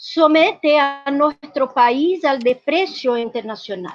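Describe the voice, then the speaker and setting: Very slowly, a woman with a Portuguese accent speaks in a high voice with ordinary pitch variation. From Brazil. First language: Portuguese (speaking Spanish). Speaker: activist, social movement representative. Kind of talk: conference presentation. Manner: halting, frequent self-corrections.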